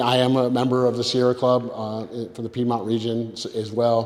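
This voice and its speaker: A man speaks with an American accent. His intonation is flat and monotone. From upstate New York, rural. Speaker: political candidate. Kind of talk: candidate forum speech. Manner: loud; halting, many repetitions.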